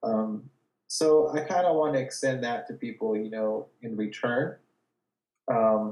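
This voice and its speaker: The pace is fairly slow. A man speaks in an American accent. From California, Watsonville. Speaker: gallery owner and artist. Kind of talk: casual interview. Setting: video call from his studio.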